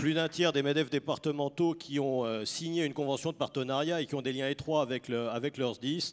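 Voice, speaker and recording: Recorded very cleanly against a silent background, a man speaks at a fairly quick pace and medium pitch with fairly even intonation. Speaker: business leader and employers' federation representative. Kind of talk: panel discussion. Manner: hesitant, with many fillers.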